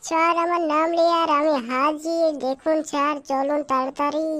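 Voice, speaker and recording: A high-pitched cartoonish character voice talks at a fairly slow pace. Its intonation stays monotone and flat. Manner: eager, deferential.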